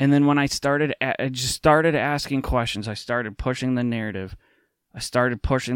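On a very clean recording with a silent background, a man with an American accent speaks in an unremarkable speaking voice at a medium pitch, fairly quickly and with ordinary pitch variation. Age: 30s. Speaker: podcast host and speaker on faith. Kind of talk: talk to small community group. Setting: at home in his apartment.

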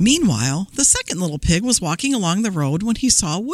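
Someone reads aloud in a natural voice.

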